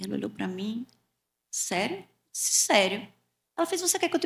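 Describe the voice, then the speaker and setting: A woman with a northeastern Brazilian accent at a fairly quick pace. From Pernambuco, Brazilian Northeast. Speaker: communication mentor, former sales executive. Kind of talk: interview storytelling. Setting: podcast studio, streamed live.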